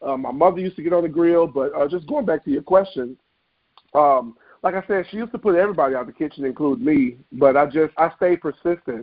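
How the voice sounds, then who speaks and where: With a Memphis accent, a man talks at a very fast pace, his fairly high pitch carried by lively intonation. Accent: Southern US (Memphis). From US South, Memphis, Tennessee. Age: 30s. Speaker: chef, food truck owner. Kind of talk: interview.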